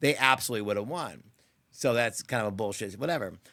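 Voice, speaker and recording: A man talks in an animated tone with an American accent. The recording is very clean, with a silent background. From Seattle, US Pacific Northwest. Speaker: podcast host. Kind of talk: casual chat.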